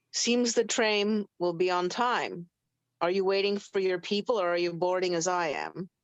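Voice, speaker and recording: A woman's gruff, put-on character voice, medium in pitch, at a moderate pace with very even loudness. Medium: actual play. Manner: curt, gruff.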